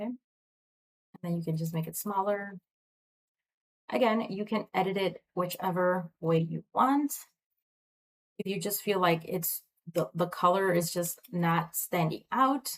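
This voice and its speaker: Soft-spoken and fairly slow, a woman speaks with ordinary pitch variation and long, frequent pauses. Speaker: online tutorial creator; tutorial host. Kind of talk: tutorial. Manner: casual, hesitant with fillers. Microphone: webcam.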